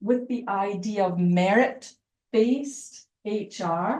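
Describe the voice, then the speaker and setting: A woman with a Scottish accent and ordinary pitch variation. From Scotland. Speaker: university lecturer. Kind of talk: lecture.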